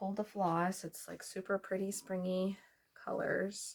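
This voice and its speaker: A woman speaks at a fairly slow pace. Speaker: cross-stitch YouTuber and nurse practitioner. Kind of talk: casual vlog chat. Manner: hesitant, many fillers.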